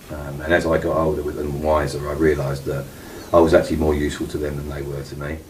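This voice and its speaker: Very deep and low in pitch, a man rattles along at a very fast pace in a monotone, flat intonation, his loudness swinging widely amid noticeable background noise and audible room echo. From East London (Hackney). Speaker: anonymous insider interviewee. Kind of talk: interview. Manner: hesitant, many ums.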